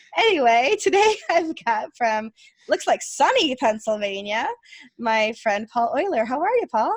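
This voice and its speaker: A woman with a high pitch and a Rochester accent speaks at a fairly slow pace, in a dry, close sound without echo. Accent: Rochester flat A. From Rochester, New York. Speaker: podcast host. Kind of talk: casual interview.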